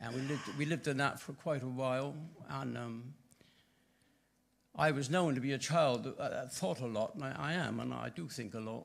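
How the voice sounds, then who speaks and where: At a moderate pace and with long, frequent pauses, a man in a West Country accent talks with ordinary pitch variation. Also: medium pitch for a man. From southwest England, Bristol. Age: 80s+. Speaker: church member giving testimony. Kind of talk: testimony. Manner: halting.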